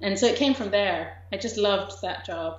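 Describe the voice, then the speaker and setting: A woman speaks at a moderate pace. Room echo is audible. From England. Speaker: documentary director. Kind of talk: interview.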